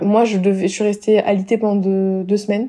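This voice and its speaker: A woman is speaking. Her pace is very fast. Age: 20s. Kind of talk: casual chat.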